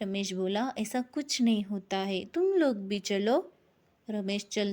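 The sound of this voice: An unforced reading voice, its pitch rising and falling in a typical way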